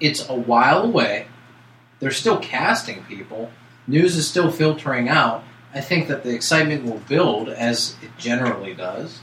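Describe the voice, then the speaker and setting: A man with a fairly high pitch talks at a moderate pace, his intonation lively and his loudness swinging widely. Noticeable background noise sits behind him. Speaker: podcast co-host. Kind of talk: casual podcast chat.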